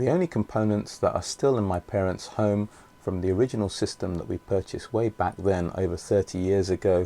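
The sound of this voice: A man talks at a moderate pace with low pitch and a dark, mellow tone. His intonation stays fairly even.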